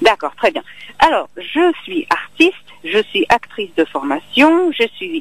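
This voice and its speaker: A woman speaks very slowly with a slight Czech accent, her pitch swinging very widely. Music plays in the background, and the sound is dry and close with no echo. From Czech Republic. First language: Czech (speaking French). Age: young. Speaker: actress and singer. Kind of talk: interview. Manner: halting.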